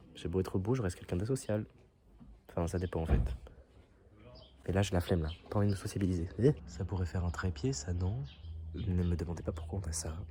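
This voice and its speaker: Somewhat breathy with a dark, mellow tone, a man speaks in a very deep, low voice at a fairly quick pace, with ordinary pitch variation and long, frequent pauses. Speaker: vlogger. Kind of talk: casual vlog.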